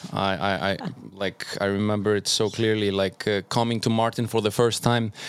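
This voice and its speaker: On a very clean recording with a silent background, a man with an Icelandic accent speaks at a fairly low pitch and a moderate pace. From Iceland and Norway. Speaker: doctor and DJ. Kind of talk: casual chat.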